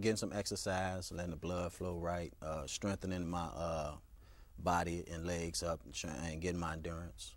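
This man has a very deep, low pitch and an American accent. He talks at a moderate pace. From US, Chicago. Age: 30s. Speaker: author; interview guest. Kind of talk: interview. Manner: halting. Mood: calm, reflective, serious. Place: studio. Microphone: lapel.

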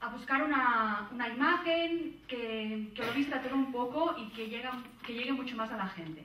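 A woman's high-pitched voice rings out, raised and projected, with audible room echo. Her tone is bright and sharp, her intonation lively. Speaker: conference panelist. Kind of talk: conference presentation. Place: hall.

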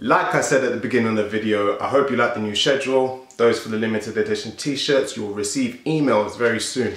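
A man with a South London accent talks at a very fast pace with hardly any pauses and ordinary pitch variation, with audible room echo around him. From South London, England. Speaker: fitness youtuber and bodybuilder; fitness youtuber. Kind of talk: casual Q&A vlog. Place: home room.

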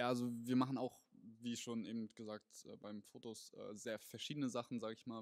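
A man talks at a fairly quick pace. The background is quiet and the sound is dry, with no echo. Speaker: interviewee. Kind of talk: interview answer. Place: hall. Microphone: handheld.

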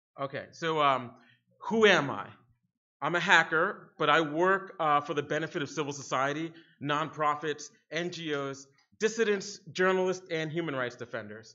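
Over a quiet background, a man uses a normal speaking voice at a moderate pace, fairly high in pitch with ordinary pitch variation. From Harlem, New York City; New York City. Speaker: security researcher, keynote speaker; keynote speaker. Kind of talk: conference keynote talk. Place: hall. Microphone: podium.

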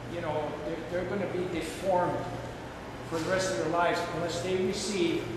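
A man talks at a moderate pace amid loud background noise and audible room echo. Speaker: guest. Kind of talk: talk to students. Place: hall.

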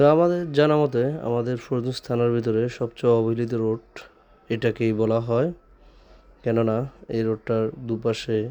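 His intonation is fairly even. The man talks at a medium pitch. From Bangladesh, Chandpur (Faridganj). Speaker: vlogger. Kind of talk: casual video vlog. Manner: halting.

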